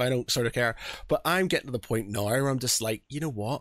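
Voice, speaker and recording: A man with a Northern Irish accent on a very clean recording with a silent background. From Northern Ireland. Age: 40s. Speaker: podcast host. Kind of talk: casual chat. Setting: home studio.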